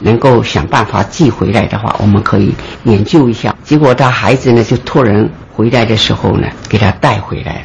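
A man's medium-pitched voice, with ordinary pitch variation, moves at a moderate pace against noticeable background noise. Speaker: retired obstetrician, former colleague. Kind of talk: interview recollection. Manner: animated.

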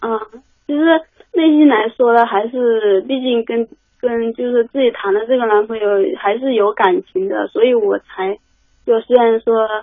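A woman at a fairly high pitch, with ordinary pitch variation and a moderate pace. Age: 20s. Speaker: caller. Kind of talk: phone call-in advice chat. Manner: halting.

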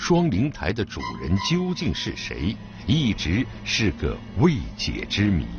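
Over music in the background, a man speaks in a solemn tone at a very slow pace. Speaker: radio documentary narrator. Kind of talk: documentary narration. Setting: radio broadcast. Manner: measured, steady, formal; solemn, storytelling tone building suspense.

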